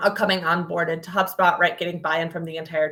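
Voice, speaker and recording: The speaker is a woman whose voice sits at a fairly low pitch. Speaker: product marketing manager presenting a demo. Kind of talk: webinar presentation. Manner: fast.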